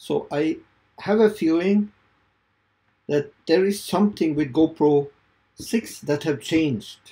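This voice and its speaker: A man with a Norwegian accent at a very slow pace, with long, frequent pauses, a fairly high pitch, ordinary pitch variation and a dark, mellow tone, against a quiet background. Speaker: video creator. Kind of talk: tutorial. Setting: home studio. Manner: halting. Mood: puzzled, hopeful. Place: home room.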